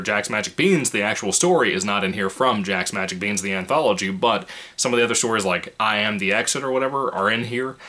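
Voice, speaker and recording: A man talks at a fairly quick pace. His pitch is fairly low, with ordinary variation. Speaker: book reviewer. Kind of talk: book review monologue. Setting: home apartment. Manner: keeping voice low, quiet.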